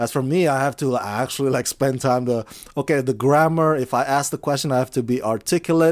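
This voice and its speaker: A man with an Indonesian accent talks at a fairly quick pace in a medium pitch, with very even loudness and fairly even intonation. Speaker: film critic and entertainment interviewer. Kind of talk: casual interview.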